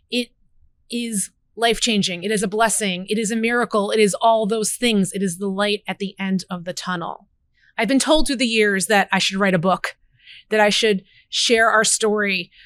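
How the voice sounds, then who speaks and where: In a plain, everyday voice, a woman with an American accent speaks at a medium pitch and moderate pace with fairly even intonation, recorded very cleanly with a silent background and a dry, close sound with no echo. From New Jersey. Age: 40s. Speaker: podcast host, food allergy parent. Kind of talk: personal storytelling monologue.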